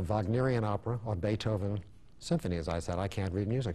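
A man with an American accent talks at a fairly quick pace in a fairly low, somewhat breathy voice with a dark, mellow tone. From Brooklyn, New York. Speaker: endodontist and dental professor. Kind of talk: interview. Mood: reflective, reminiscing. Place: studio.

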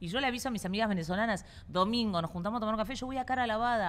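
In an animated tone, a woman talks at a very fast pace with a fairly high pitch. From Argentina, Buenos Aires. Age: 40s. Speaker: comedian and podcaster. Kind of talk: casual chat.

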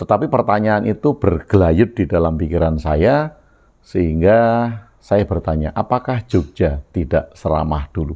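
A man with a very deep, low pitch and a dark, mellow tone speaks at a fairly slow pace with lively intonation. The background is quiet. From Yogyakarta, Java, Indonesia. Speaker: video blogger sharing reflections. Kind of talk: reflective monologue. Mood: calm, thoughtful. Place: home room. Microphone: lapel.

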